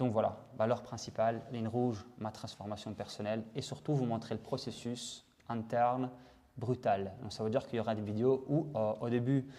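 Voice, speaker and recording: Speaking at a moderate pace, a man has a medium pitch, a dark, mellow tone and fairly even intonation. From Italy. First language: Italian (speaking French). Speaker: vlogger. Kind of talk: personal video diary monologue. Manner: halting, many fillers and repetitions.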